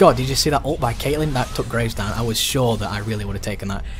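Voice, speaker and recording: Noticeable background noise runs behind a man's voice. Audible room echo is present too. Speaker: gaming youtuber. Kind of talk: gameplay commentary. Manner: fast.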